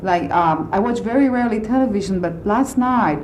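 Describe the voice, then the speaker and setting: At a moderate pace, a woman with a non-native accent speaks at medium pitch with ordinary pitch variation, with audible room echo and noticeable background noise. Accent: foreign accent, self-described funny. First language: not English. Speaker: concert pianist. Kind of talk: radio interview. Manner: halting, with many fillers.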